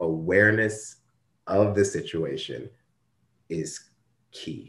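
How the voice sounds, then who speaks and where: This man has an American accent, and the background is quiet. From US Midwest, Ferguson, Missouri. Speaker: diversity and workplace ethics consultant. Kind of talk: interview.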